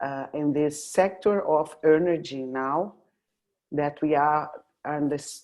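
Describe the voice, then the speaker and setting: A dark, mellow tone with fairly even intonation, captured in a very clean recording against a silent background. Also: woman. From Brazil, Rio de Janeiro. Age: 60s. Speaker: oil and gas executive. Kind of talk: interview. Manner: halting.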